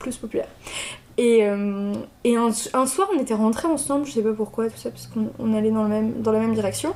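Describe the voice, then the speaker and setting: Fairly quick pace, ordinary pitch variation, and long, frequent pauses. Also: woman, fairly high pitch for a woman. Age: 20s. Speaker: interviewee, former student. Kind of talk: casual interview. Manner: hesitant, many fillers.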